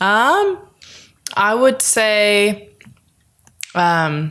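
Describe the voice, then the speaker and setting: A woman speaks with a slight Southern California accent. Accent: slight Valley girl. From Los Angeles, San Fernando Valley. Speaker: singer-songwriter. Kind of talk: casual interview. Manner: animated.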